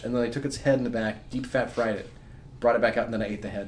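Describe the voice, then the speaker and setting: Talking at a very fast pace, a man keeps a medium pitch and fairly even intonation amid audible room echo. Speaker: comic strip creator and podcast co-host. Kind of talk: casual chat.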